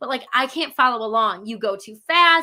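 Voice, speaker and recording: A woman's bright, sharp, raised and projected voice with lively intonation on a very clean recording with a silent background. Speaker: online business coach. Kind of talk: live workshop presentation. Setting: live stream. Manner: fast.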